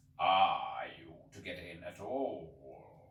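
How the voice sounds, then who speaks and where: A man's growling put-on character voice, fairly low in pitch. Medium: read story. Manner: solemn, detached, ponderous.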